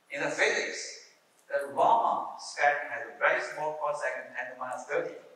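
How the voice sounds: Bright, sharp tone from a man at medium pitch, moderate pace, little pitch movement, strong room echo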